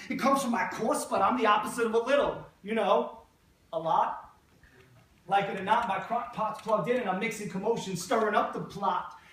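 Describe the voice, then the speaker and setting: A man speaks in a high voice with ordinary pitch variation over noticeable background noise. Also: fairly quick pace. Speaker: poet, teacher. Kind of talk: spoken word poetry performance.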